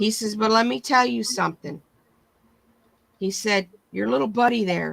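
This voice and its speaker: A woman speaks with an American accent. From Michigan. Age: 60s. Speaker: livestream host. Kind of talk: casual chat.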